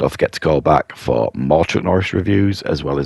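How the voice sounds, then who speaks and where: The sound is dry and close with no echo, and noticeable background noise runs underneath. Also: man. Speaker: film reviewer. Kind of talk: casual review monologue. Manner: hesitant, many fillers.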